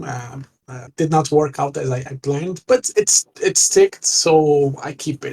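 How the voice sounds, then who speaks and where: A man with a Portuguese accent speaks in a fairly high pitch. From Portugal. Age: 30s. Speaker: gamer. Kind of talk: interview. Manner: halting.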